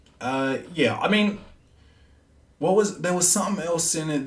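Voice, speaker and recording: Heard with audible room echo, a man talks at a fairly slow pace with lively intonation. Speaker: podcast host. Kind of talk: casual monologue.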